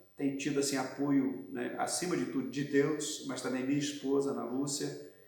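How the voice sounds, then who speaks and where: Audible room echo around a man talking at a fairly quick pace. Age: 60s. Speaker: pastor. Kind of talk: interview testimony.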